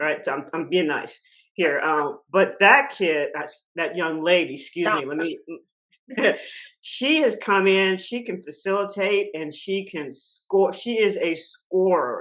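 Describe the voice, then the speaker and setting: Her medium-pitched voice is an ordinary speaking voice. The woman speaks fairly slowly with lively intonation. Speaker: college basketball color analyst. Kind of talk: podcast interview answer.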